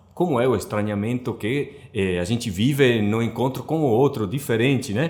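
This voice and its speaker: This is a man speaking. He has a non-native accent. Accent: foreign accent in Portuguese. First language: not Portuguese (speaking Portuguese). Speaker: book translator. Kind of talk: interview. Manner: hesitant, with many fillers.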